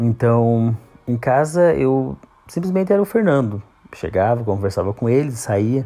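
The dark, mellow voice moves at a fairly slow pace with very wide pitch swings and very even loudness. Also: man, medium pitch for a man. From Santa Catarina, southern Brazil. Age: 30s. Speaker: podcaster. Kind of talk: personal monologue podcast.

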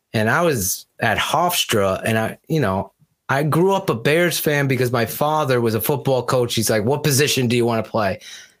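In an unremarkable speaking voice of medium pitch, a man talks at a moderate pace with hardly any pauses, lively intonation and very even loudness, captured in a very clean recording with a silent background. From Connecticut. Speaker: football podcast host. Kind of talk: casual chat.

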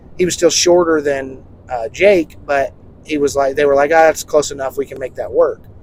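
A man's fairly high voice moves at a fairly quick clip, its intonation fairly even, with noticeable background noise behind it. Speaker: podcast host. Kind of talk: casual chat. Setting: in a car. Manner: casual, chatty.

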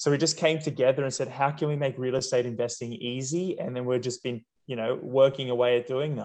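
A man with an Australian accent talks at a very fast pace. His intonation is fairly even. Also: medium pitch for a man. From Sydney, Australia (inner west). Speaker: real estate investment company co-founder. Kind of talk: interview conversation.

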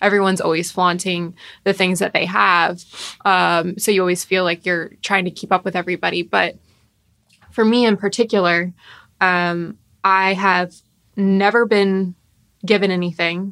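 With an American accent, a woman speaks at a moderate pace with a bright, sharp tone, medium pitch, and monotone, flat intonation, taking long, frequent pauses, on a very clean recording with a silent background. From US South, Palm Beach area, Florida. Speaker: podcast co-host. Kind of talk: casual chat.

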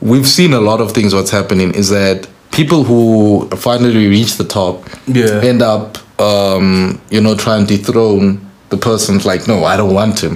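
Over noticeable background noise, the voice moves at a fairly slow pace with very even loudness and fairly even intonation. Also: man, fairly low pitch for a man. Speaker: podcast host. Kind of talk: casual chat. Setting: studio.

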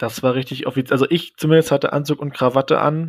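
A man's monotone, flat delivery at a fairly quick pace, dry and close with no echo. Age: 20s. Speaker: exchange participant, trained zookeeper. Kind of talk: casual chat.

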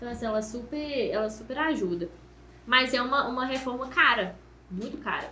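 A woman speaks in a high pitch amid audible room echo and noticeable background noise. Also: ordinary pitch variation, moderate pace. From Minas Gerais, Brazil (Ponte Nova, Viçosa). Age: 20s. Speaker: confectioner, small business owner. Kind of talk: casual podcast interview.

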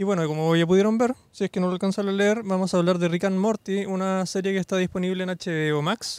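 A man with a Chilean accent talks at a very fast pace and high pitch, with hardly any pauses and fairly even intonation. The sound is dry and close, with no echo. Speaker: podcast panelist. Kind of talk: casual chat.

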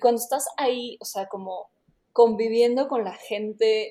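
Her voice has a dark, mellow tone at a fairly high pitch. The woman keeps a moderate pace. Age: 20s. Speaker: travel startup employee, programmer. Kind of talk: casual interview.

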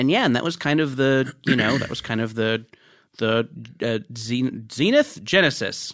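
A man at a medium pitch, fairly slow pace, an ordinary speaking voice with ordinary pitch variation, on a very clean recording with a silent background. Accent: American. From Orange County, California. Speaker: comedy writer and podcaster. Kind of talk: casual interview chat. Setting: studio.

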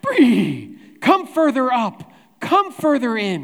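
Someone uses a put-on character voice, raised and projected, and talks at a very slow pace. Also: man. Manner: neighing horse impression.

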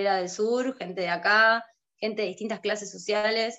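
Talking at a moderate pace, a woman has an unremarkable speaking voice with a medium pitch and fairly even intonation. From Argentina, Santa Cruz (Río Gallegos). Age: 30s. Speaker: illustrator and graphic designer. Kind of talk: casual interview.

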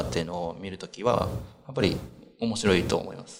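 A man with a very deep, low pitch speaks with audible room echo. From Japan, Iki island, Nagasaki, Kyushu. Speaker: chef. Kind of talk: interview.

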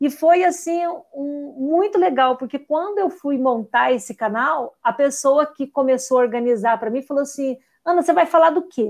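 A woman speaks with lively, bouncing intonation. Her pitch sits high. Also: moderate pace, quiet background. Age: 50s. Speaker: teacher and educational content creator. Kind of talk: radio interview.

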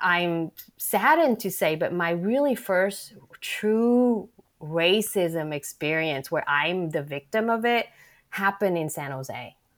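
On a very clean recording with a silent background, a woman with a slight Vietnamese accent speaks at a medium pitch and very slow pace with lively intonation. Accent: light Vietnamese-accented American English. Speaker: novelist and arts director. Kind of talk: casual interview.

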